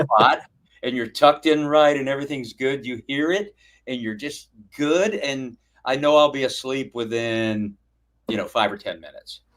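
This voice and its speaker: In an ordinary speaking voice, a man talks at a fairly high pitch and moderate pace with ordinary pitch variation. His loudness swings widely, and the recording is very clean with a silent background. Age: 60s. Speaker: hammock camping YouTuber. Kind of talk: live stream interview. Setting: live stream.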